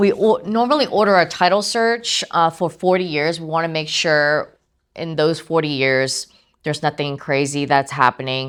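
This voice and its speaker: An ordinary speaking voice, a woman's, comes at a moderate pace with a fairly low pitch and ordinary pitch variation in a very clean recording with a silent background. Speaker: title company representative. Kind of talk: training presentation.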